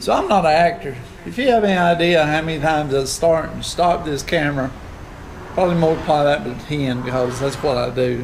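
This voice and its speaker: At a moderate pace and with ordinary pitch variation, a man speaks over light background noise. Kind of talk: casual vlog chat. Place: garage. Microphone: phone near.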